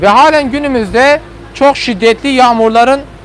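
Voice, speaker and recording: Noticeable background noise is present. The pace is moderate. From Turkey, Hasankeyf (southeastern Turkey). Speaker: tour guide. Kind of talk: guided tour commentary. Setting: outdoors on a boat, live stream. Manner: loud.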